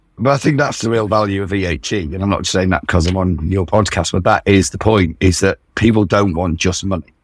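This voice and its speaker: With a British accent, a man speaks fairly quickly at a very deep, low pitch, using ordinary pitch variation. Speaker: founder of an investor network. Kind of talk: casual interview.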